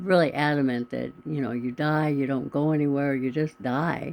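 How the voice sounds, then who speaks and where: A woman's very deep, low voice, dark and mellow in tone, with ordinary pitch variation. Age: 70s. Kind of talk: casual talk to camera.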